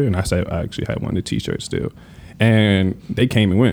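With ordinary pitch variation and a fairly quick pace, a man talks in an ordinary speaking voice. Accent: American. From US Mid-Atlantic, Prince George's County, Maryland. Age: 20s. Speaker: sneaker collector. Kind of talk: casual chat.

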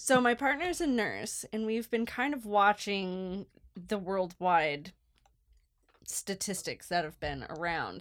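A woman speaks at a very slow pace with lively intonation. The recording is very clean, with a silent background. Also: medium pitch for a woman. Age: 30s. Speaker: archaeology podcast co-host. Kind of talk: casual chat.

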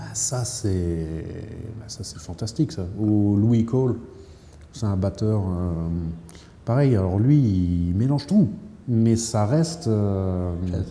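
Pausing long and often at a very slow pace, a man talks at a fairly low pitch with lively intonation, and the room echo is audible. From northern Lorraine, France (Thionville). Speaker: jazz saxophonist. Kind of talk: casual interview. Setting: smoking room of a Brussels jazz bar.

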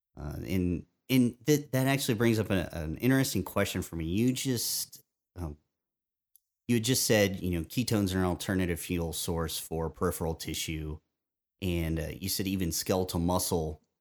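Recorded very cleanly against a silent background, a man speaks with lively intonation at a very deep, low pitch. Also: moderate pace. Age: 30s. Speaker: podcast host. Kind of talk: casual chat.

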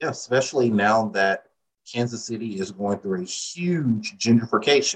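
An ordinary speaking voice from a man, medium in pitch, with ordinary pitch variation and a moderate pace. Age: 30s. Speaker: real estate agent. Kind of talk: casual interview.

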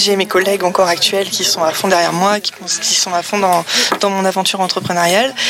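A woman talks at a moderate speed, her medium pitch and fairly even intonation heard against noticeable background noise. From Paris region, France. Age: young. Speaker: entrepreneur. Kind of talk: interview. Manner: halting.

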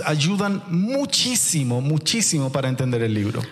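Noticeable background noise under a man talking with very wide swings in pitch. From Chile. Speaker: pastor. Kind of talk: sermon.

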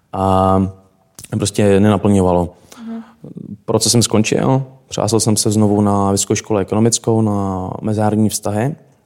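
His tone is dark and mellow, with a fairly low pitch. The man keeps a moderate pace and fairly even intonation. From Czech Republic, Šumava region. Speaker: travel entrepreneur. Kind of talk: interview.

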